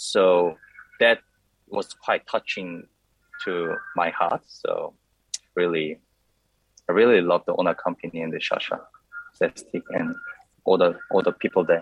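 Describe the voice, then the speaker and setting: Recorded with a dry, close sound and no echo, a man with a Korean accent speaks at a fairly slow pace. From South Korea. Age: 30s. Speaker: coffee competition champion. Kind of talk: interview.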